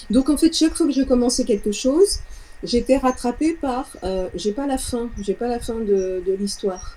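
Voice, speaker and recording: A woman's high-pitched voice with a dark, mellow tone, at a fairly slow pace. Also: lively intonation. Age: 60s. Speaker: sound therapist, former music teacher. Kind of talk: client testimonial interview. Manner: halting, with repetitions.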